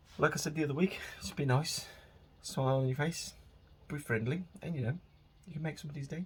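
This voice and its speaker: A man's fairly high, somewhat breathy voice with a West Midlands accent, very fast in pace, with long, frequent pauses. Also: ordinary pitch variation. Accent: local West Midlands. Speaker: podcast host. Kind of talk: casual solo monologue. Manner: rambling, informal.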